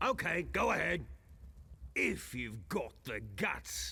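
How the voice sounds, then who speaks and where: A man's raspy, put-on character voice at a very slow pace. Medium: video game. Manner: theatrical, swings between gloom and bluster.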